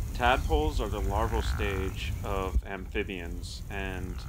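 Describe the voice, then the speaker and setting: The voice has vocal fry. Background noise is noticeable. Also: man. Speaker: nature educator. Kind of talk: educational explainer. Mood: friendly, enthusiastic. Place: waterside. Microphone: phone near.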